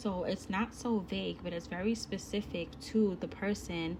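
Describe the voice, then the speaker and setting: Somewhat breathy, the woman speaks slowly-ish with fairly even intonation. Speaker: online course instructor. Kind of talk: recorded course lesson. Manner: slow, deliberate; casual, chatty.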